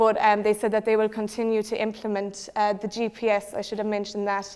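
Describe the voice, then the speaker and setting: In a Cork accent, a woman talks at a fairly quick pace with monotone, flat intonation. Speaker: secondary school teacher. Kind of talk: presentation.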